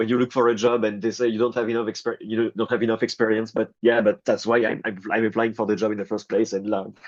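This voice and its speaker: In a French accent, a man talks at a fairly quick pace with hardly any pauses. His medium-pitched voice stays monotone and flat against a quiet background. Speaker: rock guitarist. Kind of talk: interview. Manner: halting.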